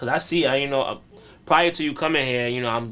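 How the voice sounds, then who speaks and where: With ordinary pitch variation and noticeable background noise, a man speaks at a very fast pace. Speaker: podcast host. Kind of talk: interviewer questions.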